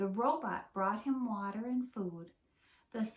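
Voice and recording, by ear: A passage is read aloud. The reading voice is natural.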